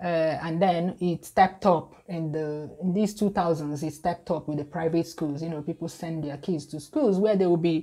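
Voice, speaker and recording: Fairly even intonation in a woman's dark, mellow tone. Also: fairly low pitch for a woman, moderate pace, hardly any pauses. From Nigeria. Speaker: YouTuber, food blogger. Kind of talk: casual talk to camera.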